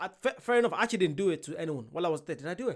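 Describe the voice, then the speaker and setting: Someone with an Irish accent talks at a very fast pace on a very clean recording with a silent background. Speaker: reaction video creator. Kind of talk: casual reaction commentary.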